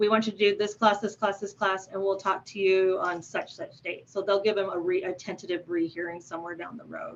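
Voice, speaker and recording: A woman of medium pitch talks at a fairly quick pace with fairly even intonation and big swings in loudness. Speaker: victim coordinator at a parole board. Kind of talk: presentation. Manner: fast.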